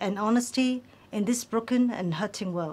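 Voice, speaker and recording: At a fairly slow pace, a woman talks. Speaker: program host. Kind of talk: scripted TV program introduction. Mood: warm, friendly and calm.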